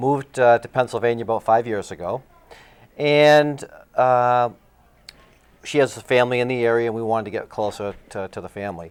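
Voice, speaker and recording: A Massachusetts accent at a fairly quick pace, with ordinary pitch variation, long, frequent pauses and big swings in loudness. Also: man, medium pitch for a man. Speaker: assistant high school principal. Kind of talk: interview.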